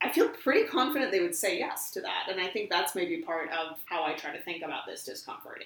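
A woman with an American accent at a fairly quick pace, hardly any pauses, and noticeable background noise. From US Midwest (northern Wisconsin). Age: 20s. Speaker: conservation detection dog trainer. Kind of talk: casual chat. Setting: in person at a home. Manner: fast.

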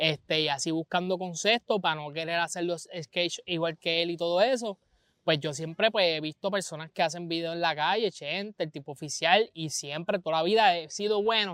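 With a Puerto Rican accent, a man speaks at a high pitch and moderate pace with ordinary pitch variation, in a dry, close sound with no echo on a very clean recording with a silent background. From Puerto Rico, Vega Baja. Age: 20s. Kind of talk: casual chat. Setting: outdoors.

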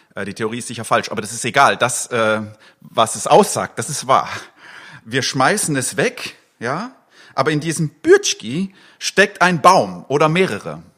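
A man with a bright, sharp tone speaks at a moderate pace in a fairly high pitch, with very wide pitch swings. His loudness swings widely and he takes long, frequent pauses. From eastern Switzerland. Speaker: pastor. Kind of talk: sermon. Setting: church livestream. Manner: casual with many fillers.

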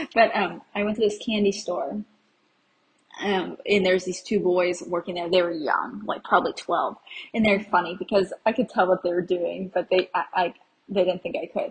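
At a moderate pace, a woman with an American accent speaks at a medium pitch in a somewhat breathy voice. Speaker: solo travel podcaster. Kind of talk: casual solo monologue, travel update. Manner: animated, enthusiastic.

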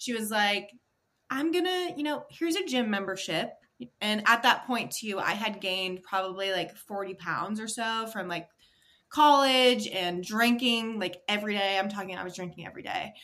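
With an American accent, a woman talks at a moderate pace in a fairly high voice, her intonation lively and her tone bright and sharp. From Maine, US. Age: 20s. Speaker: fitness coach. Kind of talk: interview conversation.

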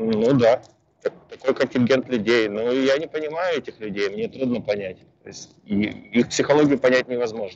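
Medium-pitched man at a moderate pace, ordinary pitch variation, big swings in loudness. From former Soviet Union. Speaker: immigration consultant. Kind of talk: interview answers. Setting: call from a bus.

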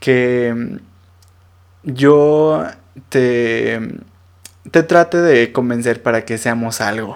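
In a very clean recording with a silent background, a man with a Mexican accent speaks at a medium pitch with ordinary pitch variation. His pace is very slow, broken by long, frequent pauses. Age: 20s. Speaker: podcast host. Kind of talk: casual monologue.

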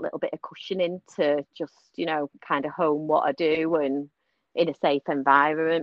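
A woman is speaking. Her pace is moderate. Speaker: nurse and singer-songwriter. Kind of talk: casual interview chat. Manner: chatty, warm, enthusiastic.

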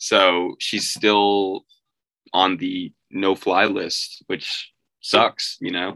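A man speaks at a very slow pace, his voice dry and close with no echo. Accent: New York. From New York. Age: 20s. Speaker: recent university graduate. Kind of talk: casual chat. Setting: remote call.

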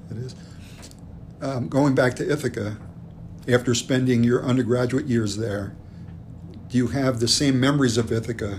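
Somewhat breathy speech in an American accent, moderate in pace, with fairly even intonation and long, frequent pauses. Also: man, medium pitch for a man. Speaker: podcast host. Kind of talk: interview.

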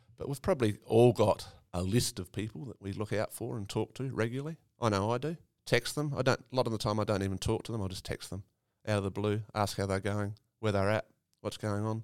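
A man with an Australian accent talks very fast at a fairly low pitch. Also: ordinary pitch variation. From South Australia, Eyre Peninsula. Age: 50s. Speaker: farmer and volunteer ambulance officer. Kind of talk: interview conversation. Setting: recorded on location in a country town.

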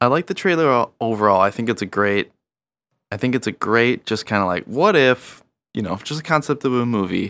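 This man has an unremarkable speaking voice at medium pitch, talking at a fairly quick pace with lively intonation. The sound is dry and close with no echo, on a very clean recording with a silent background. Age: 30s. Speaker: podcast co-host. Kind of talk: casual chat.

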